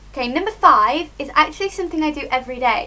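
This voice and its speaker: Here a woman speaks with a British accent. Her tone is upbeat and her voice raised and projected. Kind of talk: casual talk to camera. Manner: chatty, upbeat.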